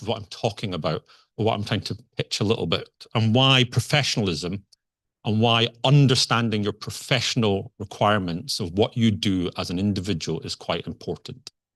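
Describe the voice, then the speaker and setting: A man's medium-pitched voice with a Scottish accent, fairly quick and lively in intonation, dry and close with no echo against a quiet background. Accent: Scottish, noticeable. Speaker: conference speaker, software engineer. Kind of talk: conference talk. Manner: conversational, hesitant with fillers.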